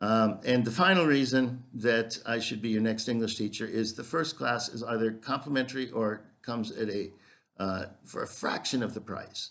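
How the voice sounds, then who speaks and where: A man speaks with an American accent. His voice sits at medium pitch with ordinary pitch variation. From US Midwest, Minnesota. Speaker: English teacher. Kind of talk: self-promotional video introduction. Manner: slow; hesitant with fillers.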